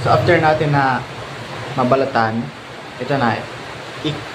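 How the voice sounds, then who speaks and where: A man of medium pitch speaks at a moderate pace with fairly even intonation, with noticeable background noise and audible room echo. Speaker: grape and fruit farming vlogger. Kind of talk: tutorial. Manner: louder than usual.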